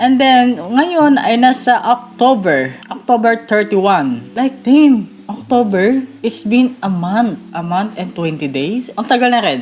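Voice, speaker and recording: Noticeable background noise sits behind a woman with a fairly high pitch. She speaks at a very slow pace with hardly any pauses. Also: lively intonation. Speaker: gaming youtuber. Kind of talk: casual vlog talk to viewers. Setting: at home at night, relative's house.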